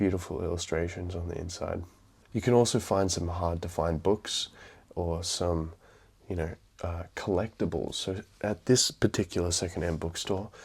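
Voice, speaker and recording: This man has a very deep, low pitch and a somewhat breathy voice, speaking at a moderate pace with fairly even intonation in an Australian accent. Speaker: book vlogger. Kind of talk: casual vlog talk. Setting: indoors at night, mother in next room. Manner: quiet, keeping voice down at midnight.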